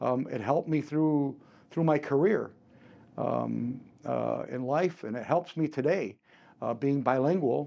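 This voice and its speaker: A man with a Chicago accent, a dark, mellow tone and a fairly high pitch for a man, at a moderate pace against a quiet background. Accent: US Midwest, Chicago area. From Chicago area, Illinois (Cuban-born, came at three). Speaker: martial arts and firearms instructor. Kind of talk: interview. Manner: halting, many repeats and fillers.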